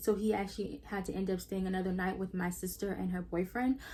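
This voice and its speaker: Dark, mellow tone from a somewhat breathy woman's voice. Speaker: YouTuber. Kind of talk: storytime vlog. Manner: casual, filler-heavy; stuttering at times.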